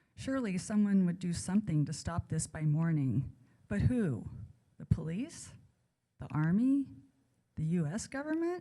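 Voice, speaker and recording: Dark and mellow in tone and somewhat breathy, the voice carries an American accent at a moderate pace, with very wide pitch swings and long, frequent pauses. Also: woman, fairly low pitch for a woman. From raised abroad and California. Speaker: author. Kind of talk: reading aloud. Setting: stage with audience.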